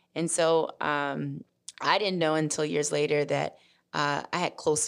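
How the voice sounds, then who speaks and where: In a very clean recording with a silent background, a woman with an American accent speaks at a moderate pace, her very deep, low pitch marked by vocal fry. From US South, Memphis, Tennessee. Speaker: civil rights attorney and policy consultant. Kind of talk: interview.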